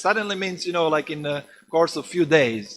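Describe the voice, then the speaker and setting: The man talks at a moderate pace. Ordinary variation shows in his pitch. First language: non-English. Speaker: preacher. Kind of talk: scripture class. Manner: halting, many fillers.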